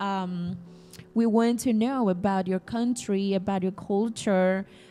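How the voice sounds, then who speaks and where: A woman with a Spanish accent speaks at medium pitch in a dark, mellow tone with fairly even intonation, on a very clean recording with a silent background. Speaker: English teacher and podcast host. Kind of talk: podcast interview. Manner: hesitant, many fillers.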